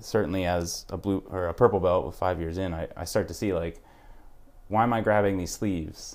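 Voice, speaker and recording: On a very clean recording with a silent background, a man with a normal speaking voice talks at a moderate pace in a fairly low pitch. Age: 30s. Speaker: podcast host. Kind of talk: casual interview.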